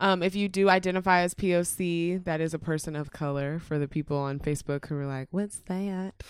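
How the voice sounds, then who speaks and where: A woman with an American accent talks in an unremarkable speaking voice at a fairly low pitch. Her pace is fairly quick, with fairly even intonation and hardly any pauses. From Dallas, Texas. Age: 20s. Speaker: podcaster. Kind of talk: casual chat.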